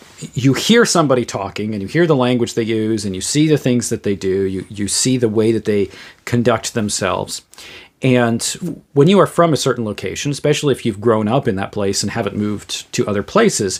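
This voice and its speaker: On a very clean recording with a silent background, a man with a New England accent talks at a fairly quick pace and medium pitch, with ordinary pitch variation. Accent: New England American. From US Northeast, Western Massachusetts. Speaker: theologian and podcaster. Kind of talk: solo podcast commentary. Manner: halting, many repeated words and fillers.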